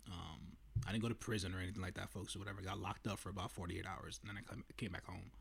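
A man's very deep, low voice with vocal fry, very fast delivery and ordinary pitch variation. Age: 30s. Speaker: movie review podcaster. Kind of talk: solo movie review monologue. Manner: casual, many filler words.

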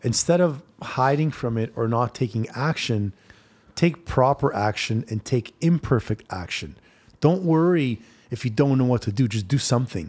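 A normal speaking voice from a man at medium pitch, with lively intonation and a moderate pace, in a very clean recording with a silent background. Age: 40s. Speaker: fitness trainer. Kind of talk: casual chat.

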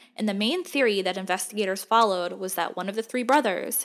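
A woman at medium pitch speaks in a dramatic, serious tone at a fairly quick pace with ordinary pitch variation. The recording is very clean, with a silent background. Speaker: true crime podcaster. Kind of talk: true-crime narration, scripted storytelling. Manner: measured, dramatic, serious storyteller pacing; casual, chatty, a bit irreverent.

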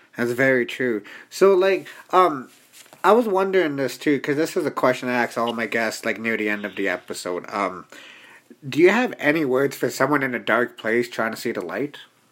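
Lively in intonation, a man talks at a fairly quick pace in a medium pitch over noticeable background noise. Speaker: podcast host. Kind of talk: casual interview. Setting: studio.

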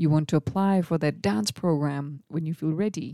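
In a very clean recording with a silent background and a dry, close sound with no echo, a woman with a very deep, low pitch and a dark, mellow tone speaks at a moderate pace with lively intonation. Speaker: podcast host. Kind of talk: solo reflective monologue. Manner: casual, with frequent laughs.

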